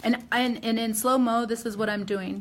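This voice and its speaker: At a moderate pace, a woman speaks with fairly even intonation and a somewhat breathy sound. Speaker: hair colorist educator. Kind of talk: live demonstration tutorial. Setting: live stream.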